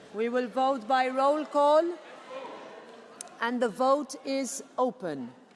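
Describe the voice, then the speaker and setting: Speaking at a very slow pace with long, frequent pauses, a woman has a high pitch and ordinary pitch variation. Noticeable background noise and audible room echo surround her voice. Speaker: parliament session chair. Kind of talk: formal procedural announcements. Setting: parliament plenary chamber.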